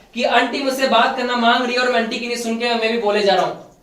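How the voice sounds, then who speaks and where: A man talks at an extremely high pitch, his intonation flat and monotone. Room echo is audible, and background noise is noticeable. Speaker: preacher. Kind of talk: sermon. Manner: interactive, questioning the congregation.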